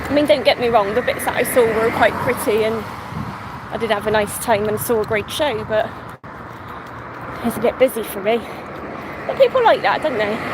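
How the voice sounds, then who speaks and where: Over noticeable background noise, a speaker with a West Country accent talks at a fairly quick pace broken by long, frequent pauses. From England, Somerset. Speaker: vlogger. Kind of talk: casual chat. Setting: outdoors, walking. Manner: casual, chatty.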